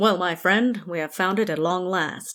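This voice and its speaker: At a moderate pace and middle pitch, a female-sounding voice performs a put-on character voice. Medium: read story. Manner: dry, weary.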